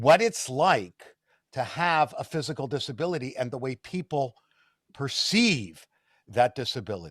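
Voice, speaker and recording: On a very clean recording with a silent background, a man speaks with vocal fry. His pace is moderate and his pitch swings very widely. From Canada. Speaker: interviewer. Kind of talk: interview. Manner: halting.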